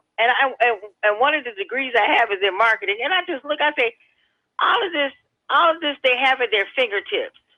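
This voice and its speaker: At a fairly quick pace, a woman with an American accent speaks high-pitched with lively intonation. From Hammond, Indiana (US Midwest). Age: 60s. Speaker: radio caller. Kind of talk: call-in radio chat.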